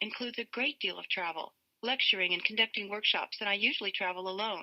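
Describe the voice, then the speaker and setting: At a fairly quick pace, this is a normal speaking voice with ordinary pitch variation. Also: woman. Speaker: author. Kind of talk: audiobook reading.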